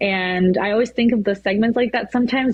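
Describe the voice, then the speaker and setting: Speaking at a very fast pace with a Spanish accent, a woman keeps a medium pitch with ordinary pitch variation. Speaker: weather anchor. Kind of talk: casual chat. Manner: hesitant, many fillers.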